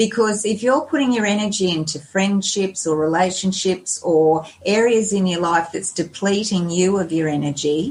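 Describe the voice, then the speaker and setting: Speaking fairly slowly in an Australian accent, a woman uses a medium, somewhat breathy voice with ordinary pitch variation. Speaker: lifestyle blogger and health coach. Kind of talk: podcast interview.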